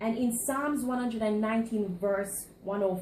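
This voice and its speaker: The pitch varies in an ordinary way. Audible room echo surrounds the voice. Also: woman. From Jamaica. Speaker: student. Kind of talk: class presentation speech. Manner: halting, with fillers and repetitions.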